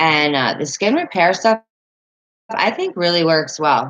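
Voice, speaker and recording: A woman with an American accent at a fairly slow pace. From Northern Virginia, near West Virginia line. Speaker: livestreamer. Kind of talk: casual chat. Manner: halting, many fillers.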